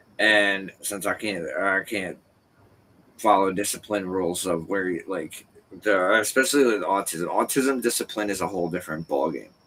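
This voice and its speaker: Ordinary pitch variation marks this bright, sharp-toned voice. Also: man, fairly low pitch for a man, moderate pace. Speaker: podcast co-host. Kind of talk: casual chat. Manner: stuttering.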